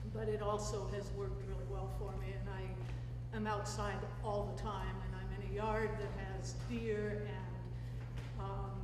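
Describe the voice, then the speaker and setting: A woman's very deep, low voice in an American accent, fairly slow and monotone with flat intonation, with audible room echo and noticeable background noise. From US Pacific Northwest (Seattle area). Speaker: researcher and lecturer. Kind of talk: public talk. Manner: loud.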